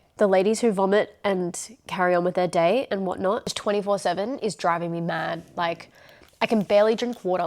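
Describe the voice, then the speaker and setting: In an Australian accent, the speaker talks at a fairly quick pace with an animated tone. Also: woman. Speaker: vlogger. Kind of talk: video diary. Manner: casual, animated.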